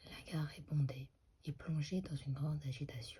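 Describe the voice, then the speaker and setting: The voice is soft-spoken. The pace is fairly slow. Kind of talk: ASMR narration of stage directions. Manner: soft-spoken, slightly inaudible.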